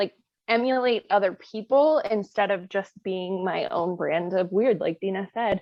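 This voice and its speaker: A woman's normal speaking voice, medium in pitch with ordinary variation, at a fairly slow pace. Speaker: book reviewer on social media. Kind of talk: casual chat.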